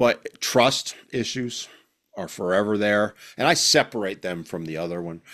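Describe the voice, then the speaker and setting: In an ordinary speaking voice, a man speaks at a fairly slow pace with a fairly low pitch, lively intonation and big swings in loudness. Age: 60s. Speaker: parental alienation survivor. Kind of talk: interview answer.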